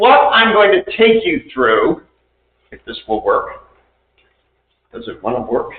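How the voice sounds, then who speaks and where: A man's loudness swings widely throughout. He pauses often and for long stretches. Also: fairly slow pace. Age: 60s. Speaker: demographic data presenter. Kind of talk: presentation. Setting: city council meeting.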